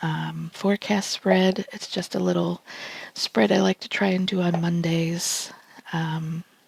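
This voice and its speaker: Against noticeable background noise, a woman with an American accent speaks quietly at a fairly slow pace, with a dry, close sound and no echo. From United States. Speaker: tarot reader. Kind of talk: tarot reading vlog. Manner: hesitant, many fillers.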